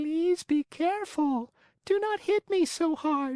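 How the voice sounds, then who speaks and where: This is a put-on character voice, high-pitched and squeaky. It moves at a fairly slow pace. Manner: beseeching, pleading.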